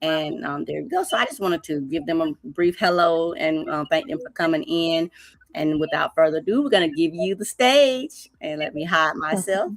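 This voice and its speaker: In a plain, everyday voice, a woman talks at a moderate pace with lively intonation and a fairly low pitch. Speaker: poetry night host. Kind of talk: live stream hosting. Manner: casual, upbeat.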